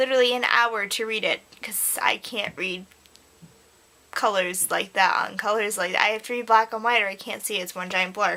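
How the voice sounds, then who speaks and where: Against noticeable background noise, a woman speaks at a moderate pace in an animated tone with ordinary pitch variation. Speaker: book vlogger. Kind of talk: casual chat.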